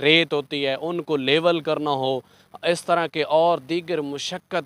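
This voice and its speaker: A man's very slow speech, fairly even in intonation, with a dry sound and no echo. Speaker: field reporter. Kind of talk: news report to camera. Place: open country. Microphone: handheld.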